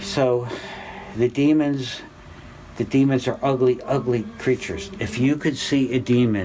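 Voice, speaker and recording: A man talks at a fairly slow pace with a medium pitch and ordinary pitch variation. Noticeable background noise runs underneath. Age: 60s. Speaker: religious teacher. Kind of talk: spiritual class talk. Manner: halting.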